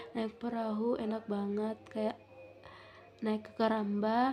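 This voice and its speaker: At a very slow pace, a woman talks in a fairly high voice. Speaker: vlogger. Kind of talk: casual vlog chat. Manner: halting.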